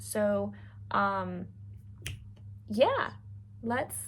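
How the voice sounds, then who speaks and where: A woman's voice carries audible room echo. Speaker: sewing youtuber and youth teacher. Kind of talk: sewing tutorial. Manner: casual, filler-heavy.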